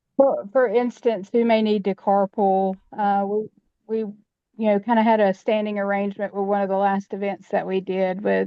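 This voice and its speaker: A woman speaks quietly at a moderate pace, her medium-pitched voice monotone and flat. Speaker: community falls prevention program worker. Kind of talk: online training discussion. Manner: very quiet; halting. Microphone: too quiet.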